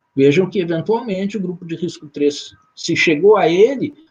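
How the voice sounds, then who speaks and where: Here a man speaks in a high pitch. His pace is moderate. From southern Brazil. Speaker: occupational safety lecturer. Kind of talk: lecture. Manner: halting, many fillers.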